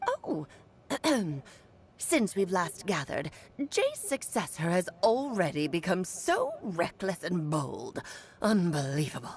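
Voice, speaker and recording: The put-on character voice moves at a fairly slow pace. Long, frequent pauses break it up. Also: woman, medium pitch for a woman. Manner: imperious, scolding.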